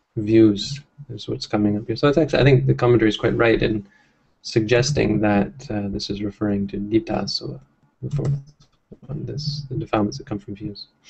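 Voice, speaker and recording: A man with a fairly low pitch and vocal fry speaks at a moderate pace, his loudness swinging widely. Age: 30s. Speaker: Buddhist monk leading scripture study. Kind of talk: text study discussion. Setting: monastery, livestreamed. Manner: hesitant with fillers.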